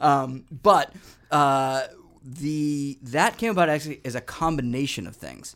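In an ordinary speaking voice, a man with an American accent speaks at a fairly high pitch and a fairly slow pace, with ordinary pitch variation and big swings in loudness, in a very clean recording with a silent background. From New England, Boston. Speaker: actor and army public affairs soldier. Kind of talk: casual chat.

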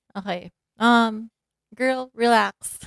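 Someone with a Filipino accent speaks at a very slow pace, and the sound is dry and close with no echo. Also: woman. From Philippines, Davao. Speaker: podcast co-host. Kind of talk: casual chat. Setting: sharing one mic at home.

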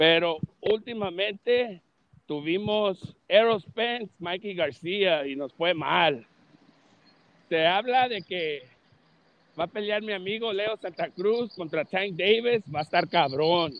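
Very slow speech from a man with a high pitch, ordinary pitch variation, and long, frequent pauses. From Los Angeles, California. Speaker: boxing channel host. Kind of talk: casual chat.

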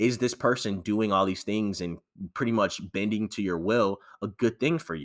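In an unremarkable speaking voice, a man with a fairly low pitch and ordinary pitch variation speaks at a moderate pace, the recording very clean with a silent background and a dry, close sound with no echo. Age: 20s. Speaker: podcast co-host. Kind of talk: casual chat.

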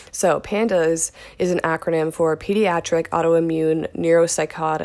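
A fairly low-pitched woman with fairly even intonation on a very clean recording with a silent background. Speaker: podcast host. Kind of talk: solo podcast monologue, casual. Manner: fast talker, says she speaks really fast; casual, filler-heavy.

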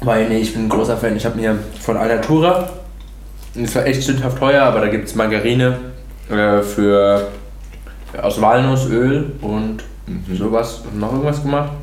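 A man speaks with ordinary pitch variation and long, frequent pauses. Noticeable background noise and room echo are present. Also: medium pitch for a man. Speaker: podcast host. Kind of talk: casual chat. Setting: at a friend's home over breakfast. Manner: fast, hesitant.

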